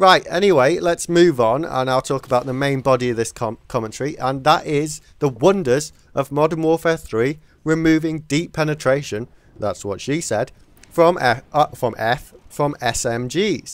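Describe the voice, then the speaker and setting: This man, with an English accent, has a fairly high pitch, ordinary pitch variation and a moderate pace on a very clean recording with a silent background. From England. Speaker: gaming commentator. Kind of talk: video game commentary. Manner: casual, halting with repetitions.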